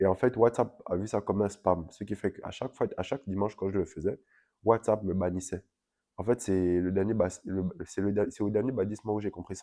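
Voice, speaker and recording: Fairly low in pitch, a man speaks in a dark, mellow tone. He keeps a moderate pace. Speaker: vlogger. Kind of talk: casual vlog update. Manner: hesitant, many fillers.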